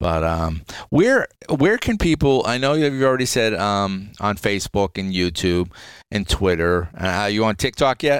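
On a very clean recording with a silent background, a man with a plain, everyday voice and fairly low pitch speaks at a moderate pace with lively intonation. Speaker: podcast host. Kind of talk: casual interview.

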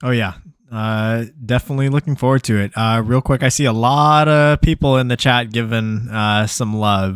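A man speaks in an unremarkable speaking voice, medium in pitch, with fairly even intonation. His pace is moderate, and the sound is dry and close with no echo. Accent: American. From Texas. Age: 20s. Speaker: podcast host and paintball player. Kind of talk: casual interview. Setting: live stream.

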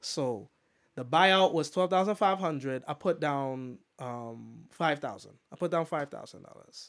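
A man speaks at a fairly slow pace in a normal speaking voice, fairly high in pitch. His intonation is lively, and the recording is very clean with a silent background. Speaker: DJ and poet. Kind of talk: casual chat. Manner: casual, rambling, repeats phrases.

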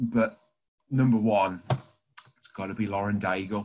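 Speaking at a fairly slow pace, a man talks with a British accent. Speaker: church youth team member. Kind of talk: casual chat.

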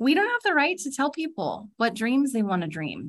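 In a Californian accent, a woman talks at a fairly quick pace with very wide swings in pitch, on a very clean recording with a silent background. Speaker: nonprofit executive. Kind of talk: interview conversation. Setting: call.

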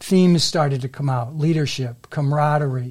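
A man speaks with an American accent. His tone is dark and mellow, and somewhat breathy. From Massachusetts, Melrose. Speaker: author, retired banker. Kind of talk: interview.

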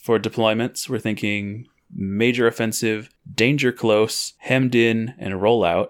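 Here is a man with an unremarkable speaking voice, medium in pitch with fairly even intonation. His pace is fairly slow, and the recording is very clean with a silent background. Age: 20s. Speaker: podcast host. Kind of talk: casual chat.

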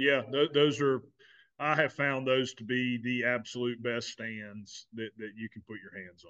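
With a Southern US accent, a man at medium pitch talks at a fairly slow pace in a fairly even intonation, his volume rising and falling sharply. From South Carolina. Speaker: podcast host. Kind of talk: casual chat. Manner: repeats words, halting.

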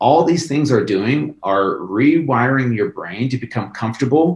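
At a moderate pace, a man speaks with a medium pitch and a somewhat breathy voice. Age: 40s. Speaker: fitness personality. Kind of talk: casual chat.

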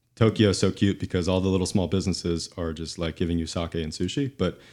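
At a very fast pace, a dark, mellow voice speaks with fairly even intonation on a very clean recording with a silent background. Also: man. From Tennessee. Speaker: climate housing developer. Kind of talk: casual discussion.

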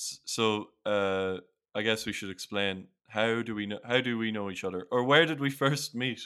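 A man's medium-pitched voice with a bright, sharp tone and ordinary pitch variation, on a very clean recording with a silent background. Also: moderate pace. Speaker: podcast host and English teacher abroad. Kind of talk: casual chat.

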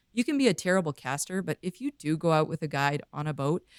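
A woman's fairly low voice in a western Canadian accent at a fairly quick pace, dry and close with no echo, on a very clean recording with a silent background. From Vancouver, British Columbia, Canada. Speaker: fishing photographer and filmmaker. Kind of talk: casual interview.

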